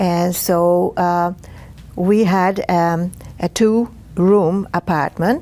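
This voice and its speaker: A woman's fairly low, dark and mellow voice with a Hungarian accent and fairly even intonation. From Hungary, Budapest. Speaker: Holocaust survivor. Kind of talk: testimony. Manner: halting, many fillers.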